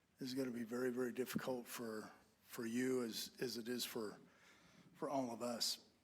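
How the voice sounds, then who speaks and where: With an American accent, a man speaks at medium pitch in a monotone, flat intonation, with audible room echo. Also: moderate pace. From Idaho. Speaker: resident giving public comment. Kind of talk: public comment. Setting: council meeting.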